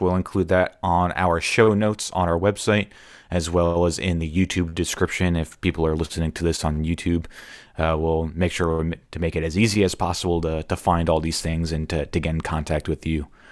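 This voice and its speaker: The recording is very clean with a silent background as a man talks at a moderate pace in a very deep, low pitch. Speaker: podcast host. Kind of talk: interview.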